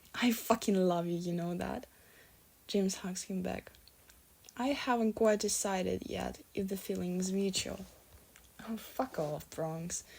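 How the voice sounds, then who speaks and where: A woman speaks with a non-native accent. She leaves long, frequent pauses. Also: medium pitch for a woman, ordinary pitch variation, fairly slow pace. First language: not English. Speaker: fanfiction reader. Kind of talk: reading aloud. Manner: halting.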